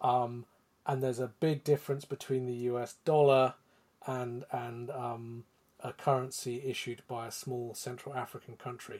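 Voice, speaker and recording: A man speaks in a British accent with flat, monotone intonation. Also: medium pitch for a man, moderate pace. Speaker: podcast host and financial editor. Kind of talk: casual chat.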